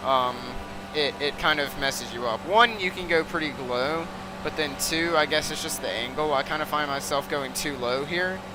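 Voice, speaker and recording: Noticeable background noise sits behind a man speaking at a fairly high pitch, with lively intonation and a moderate pace. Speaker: sim racing streamer. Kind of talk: gameplay commentary. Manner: loud; casual, rambling.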